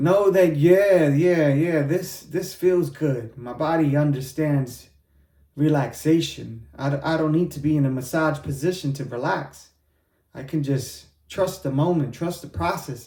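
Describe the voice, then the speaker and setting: Fairly high in pitch yet dark and mellow in tone, a man's somewhat breathy voice moves at a fairly slow pace with ordinary pitch variation. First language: Spanish. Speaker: podcast host and rapper-poet. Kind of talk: motivational talk. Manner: casual, repetitive.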